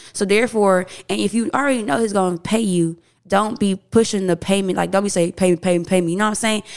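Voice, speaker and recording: A woman's medium-pitched voice, ordinary pitch variation, very fast delivery. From Houston, Texas. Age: 20s. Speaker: DJ. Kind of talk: casual chat.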